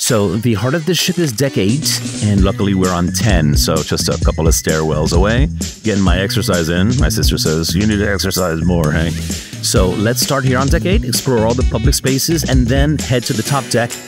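A man talks at a fairly quick pace with clear music in the background and a dry sound with no echo. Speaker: travel vlogger. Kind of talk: casual vlog chat. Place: hall. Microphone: handheld.

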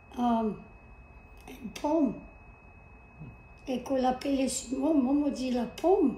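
A woman with a high pitch and a dark, mellow tone, at a very slow pace with long, frequent pauses and ordinary pitch variation, over light background noise and audible room echo. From Louisiana. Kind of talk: interview answer. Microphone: camera far.

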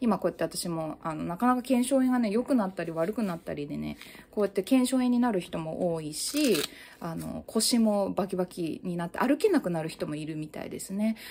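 A woman talks at a fairly quick pace with lively intonation. Light background noise can be heard. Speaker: mental health YouTuber, new mother; mental health YouTuber. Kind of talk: casual monologue. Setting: at home holding baby on balance ball. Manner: loud. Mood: calm, earnest advice. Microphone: phone near.

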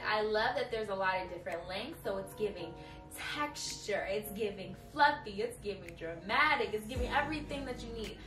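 Over clear music in the background and audible room echo, a woman talks at a fairly quick pace. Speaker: beauty vlogger. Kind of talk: casual vlog chat. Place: home room.

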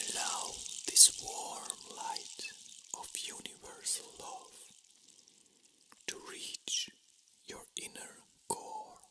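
Whispering at a very slow pace, a man leaves long, frequent pauses, his loudness swings widely, and there is noticeable background noise. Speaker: reiki master. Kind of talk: guided meditation.

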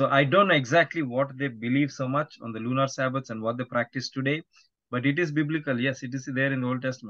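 A man of medium pitch speaks at a very fast pace with fairly even intonation. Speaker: podcast guest, evangelist.

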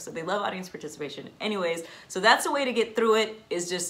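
A woman with a fairly bright tone, fairly quick pace and ordinary pitch variation, plus audible room echo

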